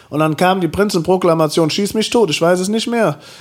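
An animated tone with ordinary pitch variation, music in the background. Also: man. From Oberbergisches Land, Germany (Engelskirchen-Ründeroth). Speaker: drag performer and singer. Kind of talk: casual chat. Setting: at home.

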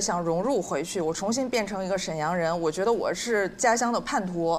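This woman talks at a fairly quick pace, her medium pitch moving with ordinary variation. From Northeast China. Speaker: podcast guest. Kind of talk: live podcast chat. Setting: stage with audience.

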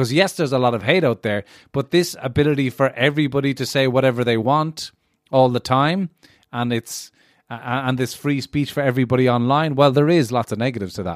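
Speaking in an Irish accent, a man at a medium pitch moves at a fairly quick pace with ordinary pitch variation. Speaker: student. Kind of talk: casual chat.

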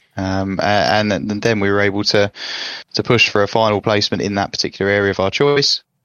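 Talking at a very fast pace, a man with an English accent speaks at a fairly low pitch. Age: 20s. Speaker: engineer, former apprentice. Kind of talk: casual chat.

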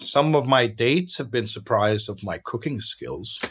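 Speaking with a Danish accent, a man talks at a fairly slow pace and a medium pitch, with ordinary pitch variation. His voice is somewhat breathy, and the recording is very clean, with a silent background. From Denmark, Copenhagen. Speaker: founder of a nonprofit. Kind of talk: interview.

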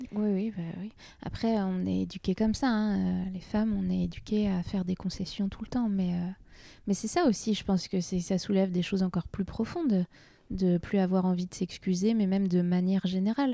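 On a very clean recording with a silent background, a woman with an unremarkable speaking voice talks at medium pitch and a moderate pace with fairly even intonation. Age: 30s. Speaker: burlesque dancer and comedian. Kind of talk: casual chat.

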